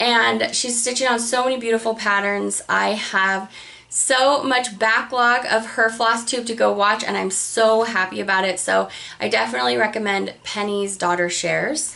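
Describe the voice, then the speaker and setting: The voice belongs to a woman with a fairly high pitch and a bright, sharp tone. Her pitch varies in an ordinary way. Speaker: cross-stitch video creator. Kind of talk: casual chat. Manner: fast; animated.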